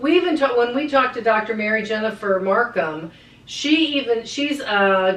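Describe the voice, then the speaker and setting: A woman's fairly high, lively voice at a fairly slow pace, with audible room echo. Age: 60s. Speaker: podcast co-host. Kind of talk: casual chat.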